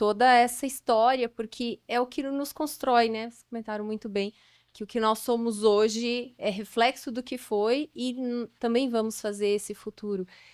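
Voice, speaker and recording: A woman's fairly high voice at a fairly slow pace, on a very clean recording with a silent background. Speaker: audience member asking a question. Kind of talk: audience question. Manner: soft-spoken.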